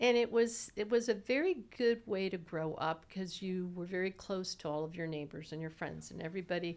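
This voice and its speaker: A woman's unremarkable speaking voice with an American accent, fairly low in pitch, fairly quick, with ordinary pitch variation, in a very clean recording with a silent background. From Southwest Florida, Naples. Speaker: mediator and lawyer. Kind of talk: interview.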